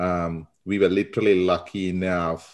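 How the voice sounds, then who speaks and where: With a Sri Lankan accent, a man speaks at a fairly slow pace. His pitch is very deep and low. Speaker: marketing consultant. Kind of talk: interview.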